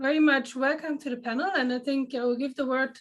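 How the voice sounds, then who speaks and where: A woman speaks with a German accent at a high pitch. Her intonation stays fairly even. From Germany. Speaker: panel moderator. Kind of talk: panel introduction.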